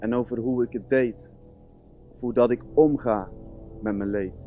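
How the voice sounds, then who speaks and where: Faint music plays behind a man who speaks at a fairly slow pace with fairly even intonation. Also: dry sound with no echo. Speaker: music student; student poet. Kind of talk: spoken word performance. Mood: earnest, melancholic. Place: stage.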